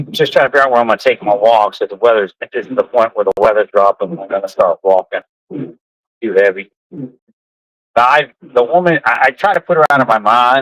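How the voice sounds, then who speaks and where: With an American accent, a man talks at a fairly quick pace in a dry, close sound with no echo. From Pennsylvania. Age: 60s. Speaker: vlogger. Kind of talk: casual vlog monologue. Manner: rambling, halting.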